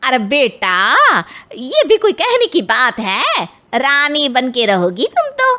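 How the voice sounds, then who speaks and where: A woman puts on a cartoonish character voice with a high pitch and very wide pitch swings. She speaks at a fairly slow pace. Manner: chatty, ingratiating.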